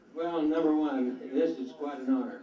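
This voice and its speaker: A man's pitch varies in an ordinary way amid audible room echo and noticeable background noise. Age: 80s+. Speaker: award recipient, shuffleboard player. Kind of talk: acceptance speech.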